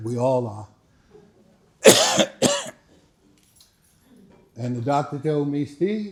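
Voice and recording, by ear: A man speaks at a fairly high pitch. His voice makes big pitch swings.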